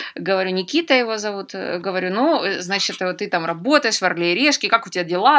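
The woman's words come out at a very fast pace, her pitch medium. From Ukraine, Donetsk. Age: 30s. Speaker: travel TV producer. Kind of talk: interview.

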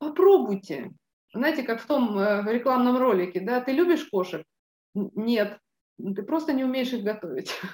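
A high-pitched woman speaks at a fairly slow pace, her pitch swinging very widely between long, frequent pauses. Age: 50s. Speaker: business mentor. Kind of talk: interview. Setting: studio.

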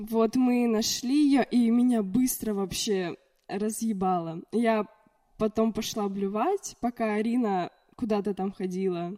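At a very slow pace, a woman with a fairly high pitch and a dark, mellow tone speaks with ordinary pitch variation. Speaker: podcast guest. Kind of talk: casual chat.

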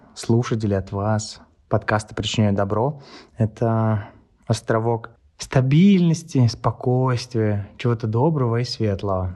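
His pace is very slow. The man's pitch moves with ordinary variation. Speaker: podcast host. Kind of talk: casual interview chat.

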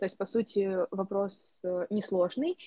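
This woman's voice sits at a medium pitch. Her recording is dry and close, without any echo. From Moldova. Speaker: university student. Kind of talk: interview.

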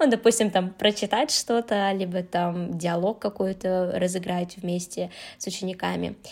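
In a normal speaking voice, a woman speaks at a fairly slow pace with a medium pitch and ordinary pitch variation. The recording is very clean, with a silent background. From Uzbekistan, Tashkent. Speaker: Korean language teacher. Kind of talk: casual chat.

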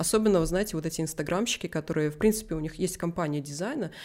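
A woman speaks at a very fast pace in a fairly low pitch. Her pitch moves in an ordinary way. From Vitebsk, Belarus. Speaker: 3D visualizer and artist. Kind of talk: interview answers, casual chat. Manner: animated, talkative, self-deprecating humor.

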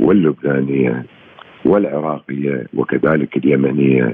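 A man with a very deep, low pitch at a very slow pace, with noticeable background noise. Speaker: political science professor. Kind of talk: radio interview. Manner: halting, many pauses.

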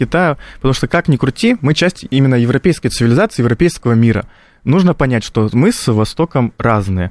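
Recorded very cleanly against a silent background with a dry, close sound and no echo, a man with an unremarkable speaking voice talks at a fairly quick pace, his medium pitch set off by lively intonation. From North Ossetia, Russia. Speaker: political science student. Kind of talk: radio panel discussion.

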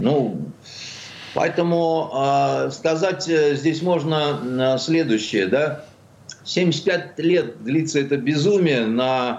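Amid audible room echo, a man with a fairly high pitch speaks very slowly, with ordinary pitch variation and very even loudness. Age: 60s. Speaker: writer and journalist. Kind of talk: radio talk show interview.

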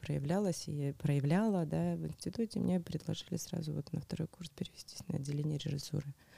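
Somewhat breathy, this woman's very deep, low voice has a dark, mellow tone and ordinary pitch variation. She speaks at a moderate pace, and the sound is dry and close with no echo. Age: 40s. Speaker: tantra practitioner. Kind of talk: interview.

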